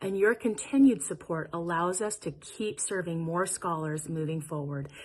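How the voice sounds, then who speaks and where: Against a quiet background, a woman with a normal speaking voice talks at a fairly slow pace, her pitch fairly low with ordinary variation. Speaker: nonprofit executive director. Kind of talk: gala welcome speech.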